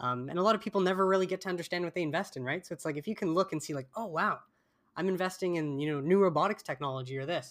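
A man with a Canadian accent talks at a very fast pace and a high pitch, with ordinary pitch variation, on a very clean recording with a silent background. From Canada. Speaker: podcast host. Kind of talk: casual interview.

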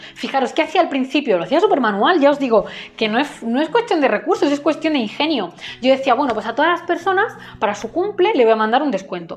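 A woman's high pitch at a very fast pace, with very wide pitch swings and noticeable background noise. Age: 20s. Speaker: entrepreneur and business coach. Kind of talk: monologue to camera.

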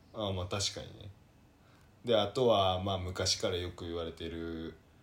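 Soft-spoken and somewhat breathy, the voice moves at a moderate pace with fairly even intonation and long, frequent pauses. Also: man. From Kyoto. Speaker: podcast co-host. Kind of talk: casual chat. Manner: soft-spoken Kansai speech.

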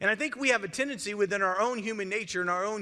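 Projecting loudly in a bright, sharp, animated tone, a man with an American accent talks at a very fast pace and a high pitch. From US, small community. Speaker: pastor. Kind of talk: evening youth-service sermon, conversational teaching through scripture. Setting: church service with live audience. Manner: animated, direct call-and-response questions to the congregation; earnest, emphatic with self-interrupting repetitions.

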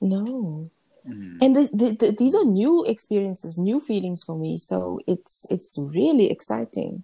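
A woman at a fairly slow pace, dry and close with no echo. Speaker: singing coach / choir leader podcast co-host. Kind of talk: casual chat. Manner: animated.

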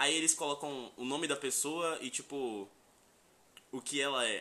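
A man speaks with a fairly high pitch and a bright, sharp tone. His pitch variation is ordinary. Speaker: podcast co-host. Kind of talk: casual chat.

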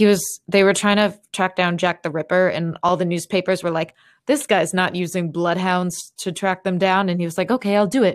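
Speaking at a moderate pace with hardly any pauses, a woman uses a medium pitch in a very clean recording with a silent background. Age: 30s. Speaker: podcast co-host. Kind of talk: casual chat. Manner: animated.

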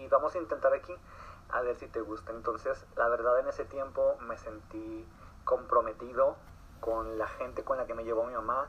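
Loudness swings widely. The pace is moderate. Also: man. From Mexico, Torreón, Coahuila. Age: 20s. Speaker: dancer and actor. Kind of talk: interview. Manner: halting, many repetitions and fillers.

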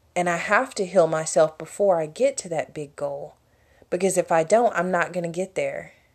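Here is a woman with a normal speaking voice. Her pitch is fairly low and varies in an ordinary way. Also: moderate pace. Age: 20s. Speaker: podcaster. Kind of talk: solo monologue podcast, personal reflection.

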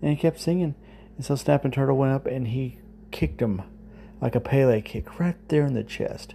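The voice reads in an unforced way.

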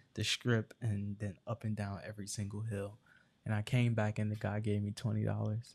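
Spoken in an American accent at a moderate pace, the voice is somewhat breathy, with monotone, flat intonation. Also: man, fairly low pitch for a man. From New Jersey (Newark, Irvington). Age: 20s. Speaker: activist and speaker. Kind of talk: casual interview.

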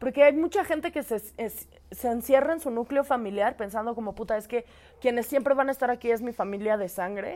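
A woman speaks in a high pitch with a Mexican accent. Her pitch varies in an ordinary way. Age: 20s. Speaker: podcast co-host. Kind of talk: casual chat. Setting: studio with camera.

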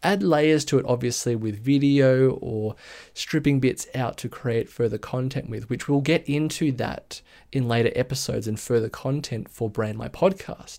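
In an Australian accent, a man with a dark, mellow tone speaks at a moderate pace and medium pitch with ordinary pitch variation, on a very clean recording with a silent background. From Australia, Sydney area (Blue Mountains). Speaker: podcast host and brand designer. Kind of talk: solo podcast monologue.

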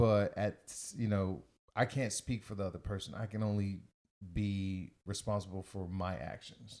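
Fairly even intonation and a moderate pace from a plain, everyday voice. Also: man, fairly low pitch for a man. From US, Virgin Islands family. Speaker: podcast co-host. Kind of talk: casual chat.

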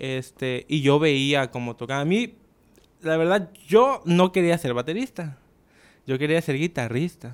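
With an ordinary speaking voice, a man talks at a fairly slow pace and fairly high pitch, his intonation lively. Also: very clean recording, silent background. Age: 20s. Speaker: drummer. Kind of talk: casual chat.

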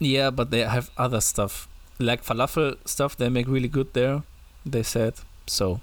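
On a very clean recording with a silent background, a man with a German accent speaks fairly slowly at a very even loudness. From Germany. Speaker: podcast co-host. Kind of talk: casual banter podcast chat. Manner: joking, laughing often.

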